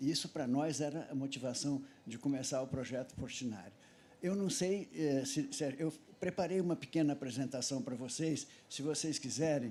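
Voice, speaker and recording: His tone is dark and mellow. A man speaks in a fairly high pitch. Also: ordinary pitch variation, moderate pace. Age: 80s+. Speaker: festival panelist, son of a painter. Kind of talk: panel talk with slide presentation.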